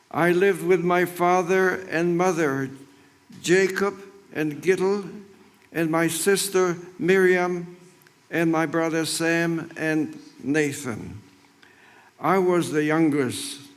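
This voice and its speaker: With audible room echo, a man with a high pitch talks at a very slow pace, with fairly even intonation and long, frequent pauses. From Poland, Krakow. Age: 90s. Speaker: Holocaust survivor. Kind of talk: commemorative speech. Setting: memorial ceremony with audience.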